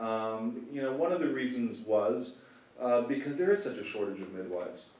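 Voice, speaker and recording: A man at medium pitch, lively in intonation and fairly slow in pace, amid noticeable background noise and audible room echo. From Canada. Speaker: lawyer. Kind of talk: conference talk. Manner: casual with fillers and repetitions.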